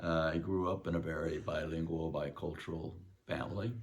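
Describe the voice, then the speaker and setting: His pitch very deep and low, a man talks with fairly even intonation. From Texas, San Antonio. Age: 70s. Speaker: guitar student. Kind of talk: testimony. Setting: video call. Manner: halting, many fillers.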